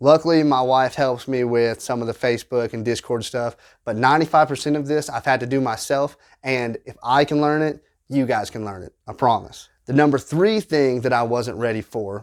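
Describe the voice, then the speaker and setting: A man with a Southern US accent speaks at a moderate pace and a medium pitch, with ordinary pitch variation and big swings in loudness. The recording is very clean, with a silent background. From US South. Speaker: small YouTuber, tabletop game content creator. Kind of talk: casual advice monologue to camera.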